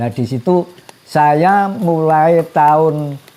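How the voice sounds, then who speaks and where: There is noticeable background noise behind this man. His intonation is fairly even. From Gunung Kidul, Yogyakarta, Java. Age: 70s. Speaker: elderly villager. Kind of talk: interview testimony.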